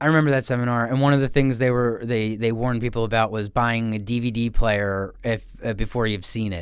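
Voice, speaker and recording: Talking very fast, a man speaks with a Philadelphia accent. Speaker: podcast co-host. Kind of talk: casual chat.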